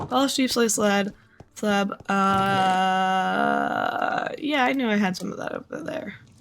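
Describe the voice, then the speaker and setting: Recorded with noticeable background noise and audible room echo, a woman talks at a very slow pace in a medium pitch with lively intonation. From Canada. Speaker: video game streamer. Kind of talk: casual live-stream chat. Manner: animated.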